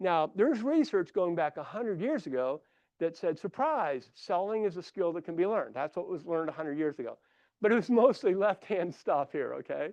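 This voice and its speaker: With a Midwestern US accent, a man speaks at a fairly quick pace in a high voice and lively intonation. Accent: Midwest US. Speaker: consultant and conference speaker. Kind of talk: conference presentation. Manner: animated.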